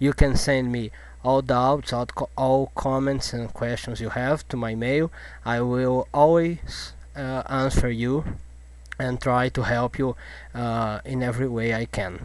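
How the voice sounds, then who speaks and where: A man talks at a fairly slow pace with a non-native accent. His pitch is medium and his intonation fairly even. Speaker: language teacher. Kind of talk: tutorial. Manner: halting.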